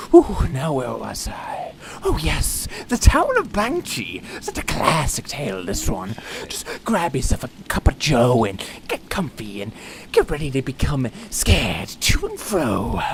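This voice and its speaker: The speaker uses a put-on character voice at a fairly slow pace. Background noise is clearly audible. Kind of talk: theatrical show intro.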